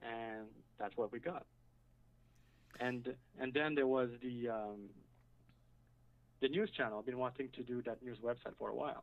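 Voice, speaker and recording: The speaker talks at a moderate pace with a French accent. Long, frequent pauses break up the speech. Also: man, medium pitch for a man, fairly even intonation. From French-speaking. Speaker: website builder, caller. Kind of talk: casual chat. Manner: halting.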